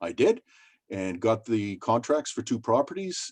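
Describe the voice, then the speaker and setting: Against a quiet background, a man speaks at medium pitch and a moderate pace, the sound dry and close with no echo. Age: 60s. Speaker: small business owner. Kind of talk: interview. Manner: halting, many fillers.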